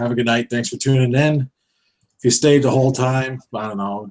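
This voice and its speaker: At a fairly quick pace, a man of medium pitch speaks in a New Jersey accent. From New Jersey, Jersey Shore. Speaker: online reseller show host. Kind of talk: casual chat.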